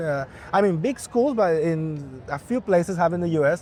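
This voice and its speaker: A man speaks with a Spanish accent. His pitch is high, with ordinary variation. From Bolivia. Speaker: musician and event emcee. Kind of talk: interview.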